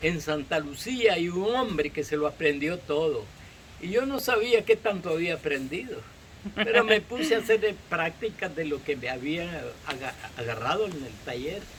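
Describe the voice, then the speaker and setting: With very wide pitch swings, a man at a high pitch speaks over noticeable background noise. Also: moderate pace. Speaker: farmer. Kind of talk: interview.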